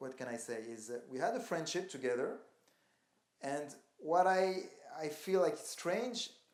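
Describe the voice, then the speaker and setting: The voice shows ordinary pitch variation, with audible room echo in the recording. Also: man. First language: not English. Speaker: calisthenics athlete. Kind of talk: interview. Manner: halting.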